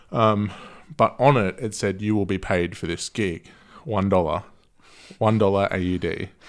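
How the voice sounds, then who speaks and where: A man with an Australian accent talks at a moderate pace with long, frequent pauses. His fairly low voice shows ordinary pitch variation over a very clean, silent background. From Gold Coast, Queensland, Australia. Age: 30s. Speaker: music photographer. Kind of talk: casual chat. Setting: at home.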